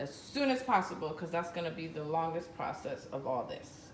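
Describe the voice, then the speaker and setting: A woman's voice with lively intonation at a moderate pace, amid noticeable background noise and audible room echo. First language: Spanish. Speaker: home cook vlogger. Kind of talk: cooking tutorial. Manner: casual, code-switching Spanish and English.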